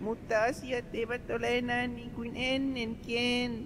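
Over loud background noise, a put-on character voice comes through at a fairly high pitch. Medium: dub. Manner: soft, pleading.

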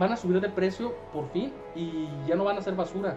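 A man speaks at a high pitch with ordinary pitch variation. Clear music plays in the background. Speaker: gaming streamer. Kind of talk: casual game commentary. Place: home room.

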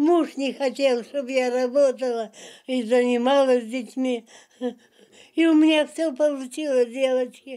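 Against a quiet background, a woman with a high pitch and a dark, mellow tone speaks at a fairly slow pace with fairly even intonation and long, frequent pauses. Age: 80s+. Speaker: birthday celebrant. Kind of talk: interview answer. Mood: content, warm. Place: home room.

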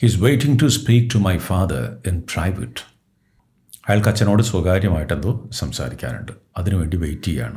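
A man with a very deep, low pitch and vocal fry speaks with very wide pitch swings. The background is quiet. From Kerala, India. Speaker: English teacher. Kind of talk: reading aloud with translation. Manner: halting, phrase by phrase.

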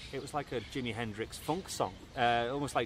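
A man with a Liverpool accent is heard in a dry sound with no echo and light background noise. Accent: Liverpool (Scouse) English. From Merseyside, northern England (Southport/Liverpool). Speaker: musician. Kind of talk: interview. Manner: halting, many repetitions and fillers. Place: home room.

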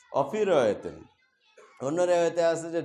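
Music plays behind a man whose pitch varies in an ordinary way. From Bangladesh, Bogura district. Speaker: Islamic preacher and madrasa assistant professor. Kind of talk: sermon. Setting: mosque.

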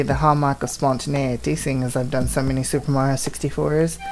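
Faint music plays in the background. Over it, a woman speaks at a fairly quick pace. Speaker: gaming video creator. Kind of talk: casual let's play commentary. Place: home room.

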